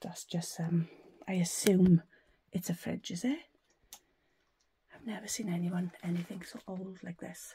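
Over light background noise, a woman speaks at a moderate pace, somewhat breathy, with a dark, mellow tone. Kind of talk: casual vlog commentary. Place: home room. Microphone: phone near.

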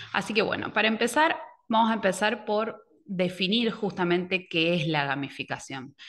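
A woman speaks in a normal speaking voice at medium pitch, with lively intonation and a moderate pace over a quiet background. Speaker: educational technology advisor; presenter. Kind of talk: online workshop presentation. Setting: video call. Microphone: webcam.

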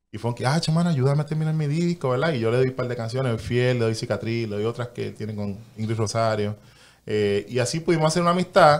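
With ordinary pitch variation, the man rattles through his words at a very fast pace. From Puerto Rico. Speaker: guest. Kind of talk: casual interview. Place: studio. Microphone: studio mic.

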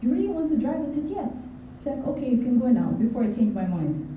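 Amid light background noise and audible room echo, a woman speaks at a very fast pace in a high pitch. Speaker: NLP coach and hypnotherapist; NLP coach. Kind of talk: motivational talk. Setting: stage with audience. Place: hall.

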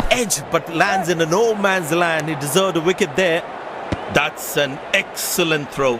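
Against noticeable background noise, a man with a high-pitched voice speaks at a fairly slow pace. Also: ordinary pitch variation. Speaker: cricket commentator in a video game. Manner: clipped, punchy snippets with abrupt shifts between calls.

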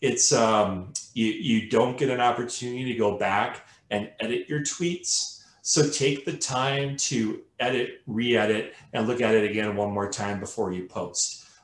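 Audible room echo surrounds a man speaking at medium pitch and a fairly slow pace with ordinary pitch variation. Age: 50s. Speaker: colorectal cancer survivor and advocate. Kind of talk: webinar presentation. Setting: video call. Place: home room.

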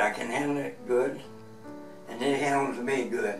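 A man speaks at a medium pitch with ordinary pitch variation, faint music in the background and audible room echo. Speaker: retired truck broker, below-knee amputee. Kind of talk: interview answer. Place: office.

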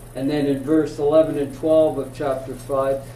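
A man speaking at a very slow pace amid noticeable background noise. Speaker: Bible class teacher. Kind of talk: lecture. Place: classroom.

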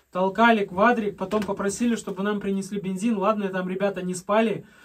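A man talks at a high pitch in a monotone, flat intonation. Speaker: cabin builder vlogger. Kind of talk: casual vlog chat. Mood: relaxed storytelling. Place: home room.

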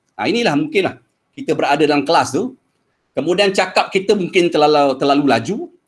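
Against a quiet background, a man talks at a very fast pace with a high pitch and lively intonation. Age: 50s. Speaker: secondary school maths teacher; experienced mathematics teacher. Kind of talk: workshop lecture. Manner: hesitant, many fillers. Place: home room.

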